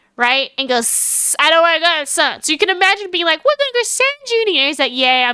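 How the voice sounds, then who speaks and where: A woman's raised, projected voice sounds bright, sharp and animated, with lively intonation. The recording is very clean, with a silent background. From Australia. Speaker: streamer. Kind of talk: casual chat. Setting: live stream.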